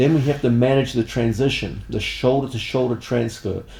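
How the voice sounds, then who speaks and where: A man with a relaxed tone speaks at medium pitch and a moderate pace. His pitch varies in an ordinary way, and background noise is noticeable. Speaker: martial arts instructor. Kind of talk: instructional tutorial.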